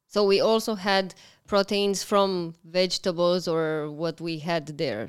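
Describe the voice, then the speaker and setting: Heard in a very clean recording with a silent background, a woman has a plain, everyday voice, fairly low in pitch, with ordinary pitch variation. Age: 30s. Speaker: food blogger. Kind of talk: casual chat.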